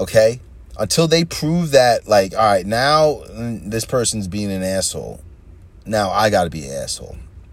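The speaker has a New York accent and a moderate pace. Loudness swings a lot. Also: man. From New York, Long Island. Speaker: podcast host. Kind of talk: casual monologue. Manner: rambling, hesitant with fillers.

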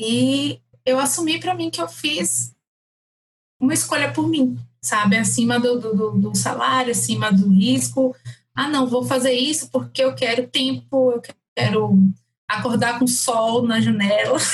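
A woman with a Bahian accent speaks at a fairly slow pace. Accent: Bahian Brazilian Portuguese. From Salvador, Bahia, Brazil. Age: 30s. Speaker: lawyer turned entrepreneur. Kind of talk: casual chat.

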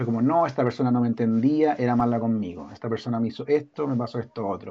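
Speaking in a Chilean accent, a man goes at a very fast pace. His voice sits at a medium pitch with ordinary variation. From Chile, Valparaíso region. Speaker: illustrator and author. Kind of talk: casual chat.

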